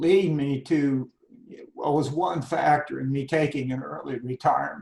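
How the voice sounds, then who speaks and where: A man speaks in a fairly high, somewhat breathy voice. His pace is fairly slow. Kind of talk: interview answer.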